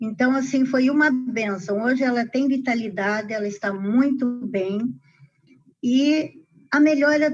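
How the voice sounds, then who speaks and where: Her high-pitched voice moves at a fairly slow pace. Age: 60s. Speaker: customer. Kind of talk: testimony.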